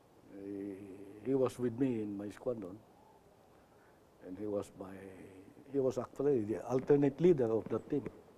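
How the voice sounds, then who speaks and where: The tone is dark and mellow, with ordinary pitch variation and big swings in loudness. Long, frequent pauses run through it. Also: man, medium pitch for a man, moderate pace. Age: 80s+. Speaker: retired air force general. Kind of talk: interview.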